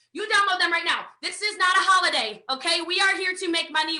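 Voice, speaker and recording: A woman with an American accent talks very fast in an extremely high, bright, sharp voice. Her voice is raised and projected. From USA. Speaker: network marketing trainer. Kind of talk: online training presentation. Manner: animated.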